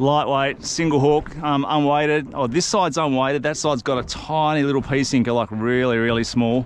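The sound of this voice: A man holds a moderate pace and a medium pitch, his intonation fairly even.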